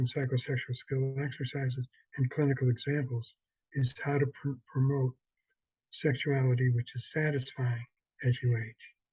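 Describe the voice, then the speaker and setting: Somewhat breathy and dark, mellow in tone, this man's medium-pitched voice moves at a moderate pace with a monotone, flat intonation. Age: 70s. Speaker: sex therapist. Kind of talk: workshop promo talk.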